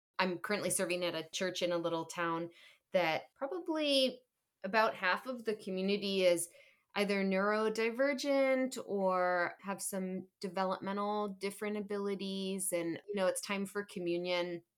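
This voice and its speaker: With an unremarkable speaking voice, a woman talks at a moderate pace and medium pitch with ordinary pitch variation in a very clean recording with a silent background. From Upper Michigan, US. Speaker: Episcopal priest and diocesan staff. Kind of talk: casual discussion.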